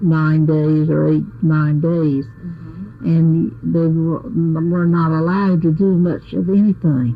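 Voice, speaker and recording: A voice with ordinary pitch variation and an American accent. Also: woman. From Ocracoke, North Carolina. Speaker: nurse and midwife's assistant. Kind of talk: oral history interview answer.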